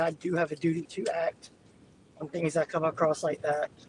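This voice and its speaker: The recording is dry and close, with no echo. A man speaks at a moderate pace with a high pitch and monotone, flat intonation. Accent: Southern US. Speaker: storm chaser live streamer. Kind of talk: live stream commentary while driving. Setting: in a car.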